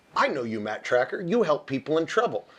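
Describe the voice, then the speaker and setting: A man puts on a character voice pitched fairly high. He talks very fast, and his pitch swings very widely. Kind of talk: comic mocking impression. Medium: game stream.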